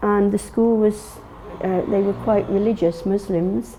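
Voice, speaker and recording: Noticeable background noise sits under a woman speaking at a medium pitch with ordinary pitch variation. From England. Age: 60s. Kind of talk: personal testimony interview. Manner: halting, many fillers and restarts.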